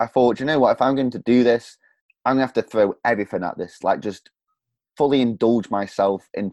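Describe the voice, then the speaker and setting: Fairly quick speech from a man with a Staffordshire accent and medium pitch, in a dry, close sound with no echo against a quiet background. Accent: Stoke-on-Trent English, drops h's. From central England, Stoke-on-Trent. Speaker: podcaster and coach. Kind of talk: casual interview.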